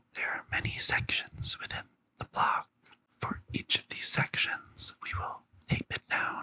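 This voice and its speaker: Whispering at a fairly slow pace, the speaker keeps a relaxed tone. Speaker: drag queen and tech educator. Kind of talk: ASMR tutorial. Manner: soft, relaxed, ASMR-style.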